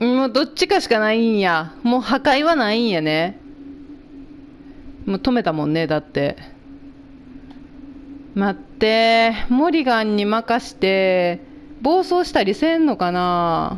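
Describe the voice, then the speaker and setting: A woman in an Osaka accent speaks at a fairly high pitch with very wide pitch swings. Long, frequent pauses and noticeable background noise run through the clip. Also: fairly slow pace. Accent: Osaka dialect (Kansai). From Japan (Kansai region). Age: middle-aged. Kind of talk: casual let's play game commentary.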